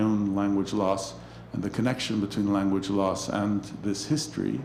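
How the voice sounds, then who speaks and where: A man with a Spanish accent and a fairly low pitch, with audible room echo. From Mexico. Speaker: anthropology professor and author. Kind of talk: interview conversation about his book. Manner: halting, many fillers and restarts.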